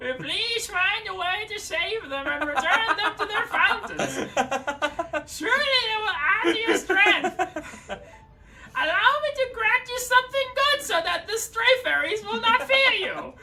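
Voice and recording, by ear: A female-sounding, put-on character voice pitched extremely high speaks at a moderate pace. Music plays in the background.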